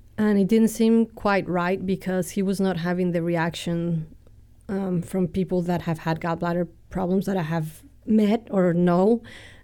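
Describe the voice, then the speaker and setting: Over a very clean, silent background, a woman talks at a fairly slow pace with fairly even intonation. Her voice sits at a medium pitch with a dark, mellow tone. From Mexico City. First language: Spanish. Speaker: churchgoer. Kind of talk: testimony. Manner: cheerful, laughs often.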